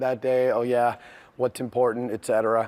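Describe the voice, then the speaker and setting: At a very fast pace, a man talks at medium pitch. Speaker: university lecturer. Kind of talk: lecture.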